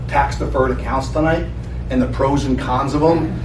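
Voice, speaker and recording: A man talks at a fairly quick pace with an American accent. Noticeable background noise and audible room echo fill the recording. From New Jersey. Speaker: financial advisor. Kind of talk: seminar presentation. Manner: loud.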